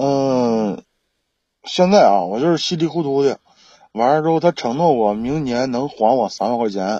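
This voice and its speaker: With a dark, mellow tone and lively intonation, a man speaks at a medium pitch and moderate pace against a quiet background. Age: 30s. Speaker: caller seeking relationship advice. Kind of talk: call-in advice chat. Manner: halting. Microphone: laggy connection.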